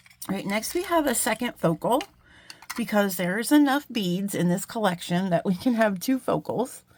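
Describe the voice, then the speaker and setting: Over noticeable background noise, a woman talks at a medium pitch and a moderate pace. Her intonation is lively. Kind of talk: product showcase. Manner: animated.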